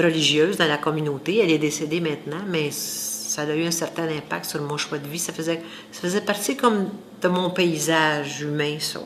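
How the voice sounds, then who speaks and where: Spoken at a fairly slow pace with fairly even intonation, the voice carries audible room echo and noticeable background noise. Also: woman. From Quebec, Saint-Hyacinthe area (rural). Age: 60s. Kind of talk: interview testimony.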